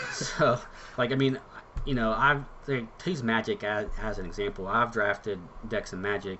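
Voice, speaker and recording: With noticeable background noise, a man speaks at a moderate pace and medium pitch, using ordinary pitch variation and long, frequent pauses. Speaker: card game streamer. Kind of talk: live stream commentary. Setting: live stream.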